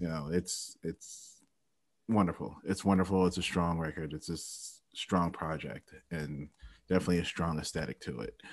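Fairly even intonation carries an American accent over a quiet background. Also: man, very deep, low pitch for a man, moderate pace. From Ohio. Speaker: podcast host and musician. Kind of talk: casual chat. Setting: video call.

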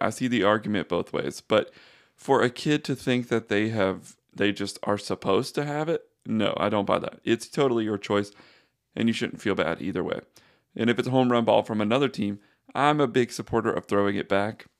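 On a very clean recording with a silent background and a dry, close sound with no echo, a man with a plain, everyday voice speaks at a moderate pace and medium pitch with ordinary pitch variation. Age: 20s. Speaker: sports podcast host. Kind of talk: solo podcast commentary. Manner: casual, conversational.

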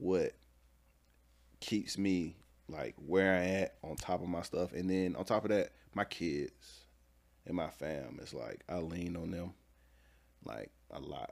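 In a very clean recording with a silent background, a man with a very deep, low pitch and vocal fry speaks with ordinary pitch variation. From Atlanta, Georgia. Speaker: entrepreneur. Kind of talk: casual interview.

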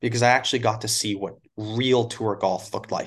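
A man in a normal speaking voice, medium pitch, fairly even intonation, quiet background. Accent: Canadian. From Canada (Alberta). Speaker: college golf coach. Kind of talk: casual interview.

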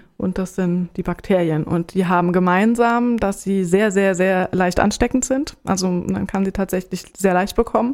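A woman with an unremarkable speaking voice talks at a moderate pace and medium pitch, with ordinary pitch variation. The recording is very clean, with a silent background. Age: 40s. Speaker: HIV counselor. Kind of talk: informative interview.

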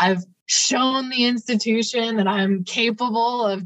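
Speaking with a Midwestern American accent, a woman keeps a fairly slow pace and fairly even intonation. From Ohio, Cleveland area. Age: 20s. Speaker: PhD candidate and community organizer. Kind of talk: interview.

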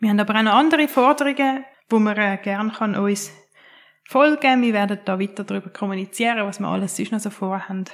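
A woman speaks very fast at a medium pitch with ordinary pitch variation. The recording is very clean, with a silent background. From Switzerland, Winterthur. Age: 30s. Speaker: social care worker and advocate for care leavers. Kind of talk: interview.

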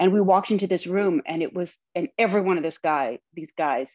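Against a quiet background, a woman with an American accent talks in a fairly low voice with ordinary pitch variation. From US Midwest, Lansing, Michigan. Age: 60s. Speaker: playwright and actress. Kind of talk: interview conversation.

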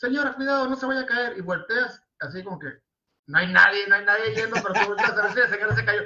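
Extremely high-pitched for a man, this voice moves with lively intonation. He speaks at a very fast pace. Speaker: podcast co-host. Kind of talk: casual chat.

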